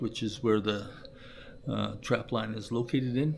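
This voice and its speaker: A man with a Canadian accent, medium pitch, fairly even intonation and a moderate pace. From Canada. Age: 60s. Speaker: trapper and channel owner. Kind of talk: casual livestream chat. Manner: halting, many fillers.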